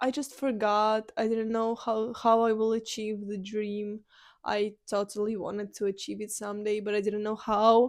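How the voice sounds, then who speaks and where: A woman with a Ukrainian accent speaks in a flat monotone at a fairly slow pace. The background is quiet. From Ukraine. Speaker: podcaster. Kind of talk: personal monologue. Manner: halting.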